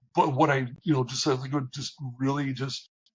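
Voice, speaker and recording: Speaking at a moderate pace, a man has a medium-pitched, somewhat breathy voice with fairly even intonation. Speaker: operations leader. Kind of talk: interview.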